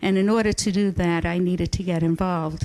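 The speaker has an American accent and fairly even intonation. The background is quiet. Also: woman. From New York. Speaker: community volunteer. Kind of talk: acceptance speech. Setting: city council meeting.

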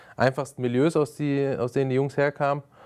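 A man talks at a fairly quick pace in a dark, mellow tone. The background is quiet. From Germany, Frankfurt (Hesse). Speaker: youth sports official; talk show guest. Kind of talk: interview. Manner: hesitant, many fillers. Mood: calm, thoughtful. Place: studio.

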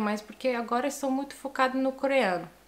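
Her pitch shows ordinary variation. The voice belongs to a woman. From Italy. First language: Italian (speaking Portuguese). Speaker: language learner, polyglot vlogger; language learner vlogger. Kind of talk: casual vlog monologue. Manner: halting, with self-corrections. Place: home room.

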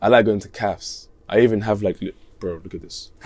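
A man with a fairly low pitch at a fairly quick pace. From Leicester, England; England. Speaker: musician; interviewee. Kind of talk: casual chat. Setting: interview on tour in Copenhagen. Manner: laid-back, slangy. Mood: relaxed, casual. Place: bus. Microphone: lapel.

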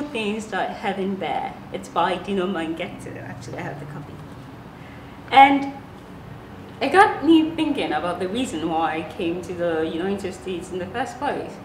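Over light background noise and audible room echo, a woman speaks at a moderate pace, her pitch swinging very widely and her loudness shifting in big swings. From Ghana. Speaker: vlogger. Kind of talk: casual talk to camera. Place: home room.

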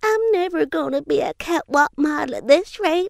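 A woman's put-on character voice with very wide pitch swings at a moderate pace. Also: dry, close sound with no echo.

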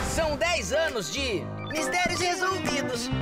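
The speech moves at a very slow pace over loud background music. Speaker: channel voice announcer. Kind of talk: TV channel promo read. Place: booth. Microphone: studio mic.

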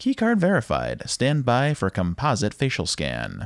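A man's put-on, robotic character voice at a medium pitch and a moderate pace. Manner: mechanical.

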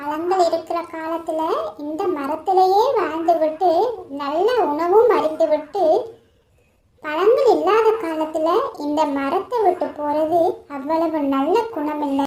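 A cartoonish character voice, extremely high in pitch, at a very slow pace. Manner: sincere, gentle.

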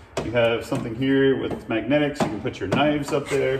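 A man keeps a moderate pace as noticeable background noise continues behind him. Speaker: vehicle DIY host. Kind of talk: tutorial. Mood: relaxed, casual. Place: garage.

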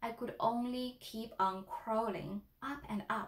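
A natural reading voice carries the whole clip.

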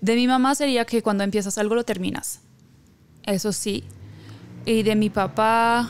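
At a fairly slow pace, a woman talks with fairly even intonation and very even loudness, leaving long, frequent pauses in a dry sound with no echo. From Haiti. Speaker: singer-songwriter; guest. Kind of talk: interview. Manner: halting. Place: studio. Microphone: studio mic.

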